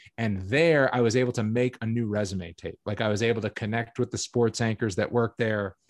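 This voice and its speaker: This man has an ordinary speaking voice with an American accent, pitched in the medium range, with fairly even intonation and a fairly quick pace. The sound is dry and close with no echo, against a quiet background. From Massachusetts, Boston area. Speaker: MMA commentator and podcast host. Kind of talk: casual interview chat.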